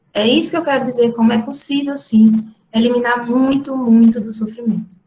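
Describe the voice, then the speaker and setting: With a strong Ceará accent, a woman speaks at a moderate pace in a high-pitched voice with a dark, mellow tone. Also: fairly even intonation. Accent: strong Ceará (northeastern Brazil). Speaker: university professor. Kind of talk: lecture.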